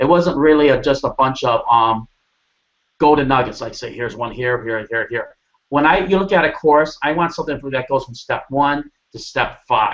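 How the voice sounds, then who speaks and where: A man talks at a fairly quick pace in a fairly high voice, his pitch rising and falling in an ordinary way. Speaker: online marketing coach hosting interview. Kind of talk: sales pitch. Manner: loud; animated.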